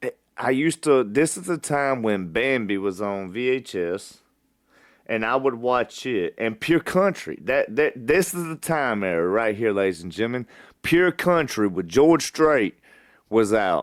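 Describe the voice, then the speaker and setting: A man speaks fairly slowly in an Alabama accent, his pitch swinging very widely. The recording is very clean, with a silent background. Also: medium pitch for a man. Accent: Southern US (Alabama). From US South. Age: 30s. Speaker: podcast host. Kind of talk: personal storytelling monologue.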